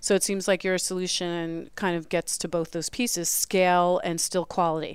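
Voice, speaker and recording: On a very clean recording with a silent background, a woman with a fairly low pitch speaks at a moderate pace in a monotone, flat intonation with hardly any pauses. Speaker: radio host. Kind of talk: casual interview. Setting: conference, live broadcast.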